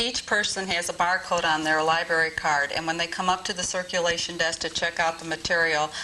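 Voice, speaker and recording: The voice moves at a fairly quick pace in a flat monotone, with noticeable background noise. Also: woman. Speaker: library staff member. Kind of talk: on-camera interview. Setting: studio. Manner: loud, forced projection.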